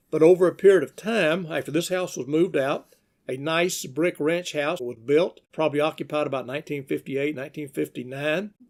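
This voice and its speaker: In a Southern US accent, a man speaks fairly quickly at a fairly high pitch with ordinary pitch variation. The recording is very clean, with a silent background. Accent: Southern US (Georgia). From US South, Georgia. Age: 60s. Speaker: local historian narrator. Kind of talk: narration of old photos. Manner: unscripted, conversational.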